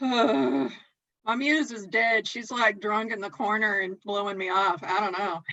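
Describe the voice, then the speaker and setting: Here a woman talks with a Southern US accent. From US South. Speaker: calligraphy scroll artist. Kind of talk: casual chat. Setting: live stream.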